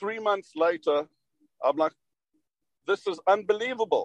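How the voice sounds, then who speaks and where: With a South African accent, a man speaks at a high pitch with ordinary pitch variation, recorded in a dry, close sound with no echo. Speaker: derivatives executive. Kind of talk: interview. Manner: animated.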